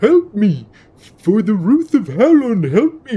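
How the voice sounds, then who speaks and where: Putting on a character voice, a man speaks high and fairly slowly with very wide pitch swings. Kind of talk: rustic, countrified. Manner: panicked, pleading.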